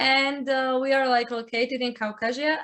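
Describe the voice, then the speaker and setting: A woman speaks with a Georgian accent. Her pitch is high and her pace is moderate. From Georgia (country). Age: 20s. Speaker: chess player and streamer. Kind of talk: casual interview.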